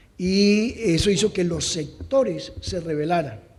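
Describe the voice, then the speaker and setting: Over noticeable background noise and audible room echo, a man speaks in a high voice with ordinary pitch variation. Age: 60s. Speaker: conference speaker on policy evaluation. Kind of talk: conference talk.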